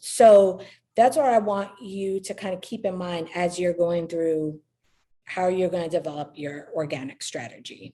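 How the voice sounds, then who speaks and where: A woman's fairly low voice in a dark, mellow tone, with ordinary pitch variation and a slight New York accent. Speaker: real estate agent and social media marketing trainer. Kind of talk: online training presentation. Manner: outgoing, conversational.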